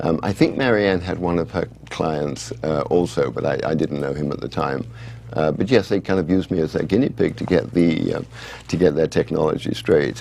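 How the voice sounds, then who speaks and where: Over noticeable background noise, a man with an English accent talks at a fairly quick pace, his very deep, low voice carrying lively intonation. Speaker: author. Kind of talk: interview. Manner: halting.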